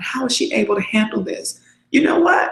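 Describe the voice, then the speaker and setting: A woman speaks in an animated tone with very wide pitch swings. Vocal fry runs through her voice. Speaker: life coach for single mothers. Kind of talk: webinar talk. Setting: video call.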